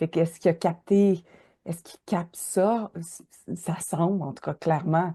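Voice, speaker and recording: Against a quiet background, a woman with a Quebec accent speaks at a moderate pace in a fairly low pitch and a dark, mellow tone, with fairly even intonation and big swings in loudness. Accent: Québécois French. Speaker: podcast host. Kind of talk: casual interview. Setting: travelling on the road, recording live.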